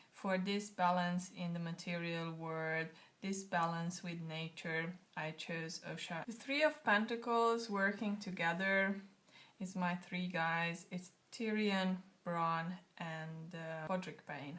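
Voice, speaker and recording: A woman talks at a very slow pace in a fairly low pitch, with ordinary pitch variation. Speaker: tarot deck creator. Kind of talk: casual talk to camera. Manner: choppy, halting.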